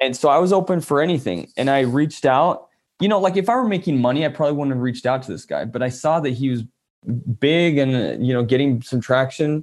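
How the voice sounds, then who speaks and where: A man talks at a very fast pace with a fairly high pitch and ordinary pitch variation. The recording is very clean, with a silent background. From born in Italy (Florence), raised in the US from age six or seven. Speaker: photographer. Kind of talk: casual interview chat. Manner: animated.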